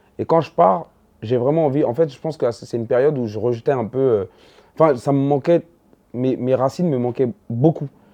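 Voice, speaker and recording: Speaking at a moderate pace with a medium pitch, a man leaves long, frequent pauses while his loudness swings widely. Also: ordinary pitch variation. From Ivory Coast, then Paris 19th from age 12. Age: 30s. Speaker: stand-up comedian. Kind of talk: casual interview chat. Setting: sit-down interview over snacks. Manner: hesitant, many fillers and restarts.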